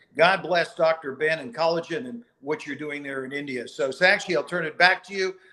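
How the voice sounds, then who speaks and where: A man's plain, everyday voice, fairly high and fairly quick, with hardly any pauses, big swings in loudness and ordinary pitch variation. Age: 60s. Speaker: company co-founder. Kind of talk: motivational speech.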